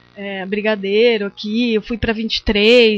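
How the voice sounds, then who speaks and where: A woman's fairly high voice at a moderate pace, with music in the background. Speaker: visual artist and lecturer. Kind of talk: lecture. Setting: seminar talk with audience. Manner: halting, many fillers.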